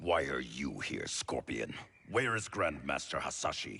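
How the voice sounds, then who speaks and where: A man growls in a put-on character voice at a very deep, low pitch. His pace is moderate. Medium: video game. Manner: stern, suspicious.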